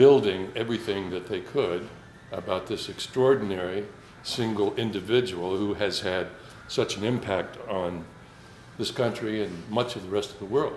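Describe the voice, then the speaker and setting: A man's fairly low voice, with ordinary pitch variation and big swings in loudness, carries audible room echo. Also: moderate pace. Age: 60s. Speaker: Twain impersonator and amateur actor. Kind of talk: casual talk to a gathering. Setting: small gathering. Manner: halting, with many fillers.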